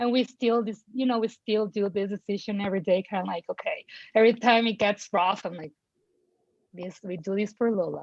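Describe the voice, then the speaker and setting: The woman talks with a Mexican accent at a medium pitch and ordinary pitch variation. Her pace is fairly quick, in a dry, close sound with no echo. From Mexico. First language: Spanish. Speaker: parent of a child in early intervention. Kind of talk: panel conversation.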